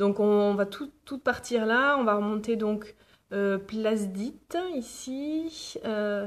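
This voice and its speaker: A woman speaks very slowly, her fairly high voice showing ordinary pitch variation. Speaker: vlogger. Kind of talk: casual vlog. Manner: hesitant, many fillers; soft-spoken.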